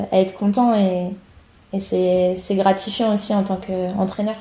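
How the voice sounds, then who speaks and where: A woman's somewhat breathy, medium-pitched voice with a dark, mellow tone, monotone, flat intonation, and a fairly slow pace. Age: 30s. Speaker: triathlete and coach. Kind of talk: casual interview.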